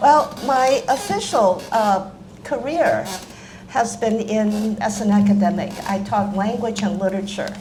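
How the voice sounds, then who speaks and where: A woman with an American accent and a fairly high pitch speaks at a fairly slow pace with ordinary pitch variation, amid audible room echo and noticeable background noise. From China, Hong Kong and Taiwan, then Washington DC. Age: 80s+. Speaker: author and retired language professor. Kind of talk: public talk.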